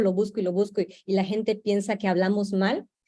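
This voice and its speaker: A woman's medium-pitched voice with a dark, mellow tone, a moderate pace and a Yucatecan accent. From Yucatán peninsula, Mexico. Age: young. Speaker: Maya youth cultural activist. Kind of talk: panel discussion. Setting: virtual broadcast. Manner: halting, with fillers and repetitions.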